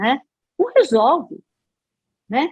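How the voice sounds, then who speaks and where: The speech moves at a fairly slow pace. Its pitch swings very widely. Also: woman. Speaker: radio announcer and psychologist. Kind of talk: interview answer.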